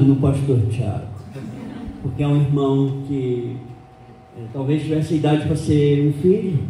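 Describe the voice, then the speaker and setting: A man's fairly high-pitched, fairly slow speech, with audible room echo and noticeable background noise. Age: 60s. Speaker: pastor and missionary. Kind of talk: sermon. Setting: church.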